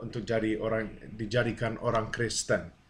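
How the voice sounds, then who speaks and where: Audible room echo surrounds the voice. A man talks at a fairly slow pace. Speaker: preacher. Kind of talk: sermon-style teaching. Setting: video to camera. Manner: halting.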